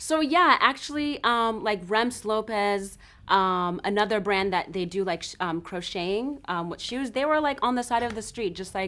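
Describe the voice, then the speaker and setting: In a very clean recording with a silent background, a woman with an American accent speaks at a moderate pace with hardly any pauses, a fairly high pitch, a bright, sharp tone and lively intonation. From Zimbabwe. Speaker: fashion designer. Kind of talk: interview. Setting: in her store.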